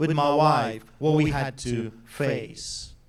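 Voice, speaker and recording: A man speaks with a Polish accent. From Poland. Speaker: pastor. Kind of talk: speech to audience. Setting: stage with audience. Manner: animated.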